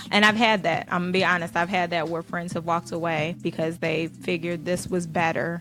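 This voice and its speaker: An unremarkable speaking voice from a woman, fairly low in pitch, with fairly even intonation, a fairly quick pace and hardly any pauses. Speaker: radio show co-host. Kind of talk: casual radio talk show banter.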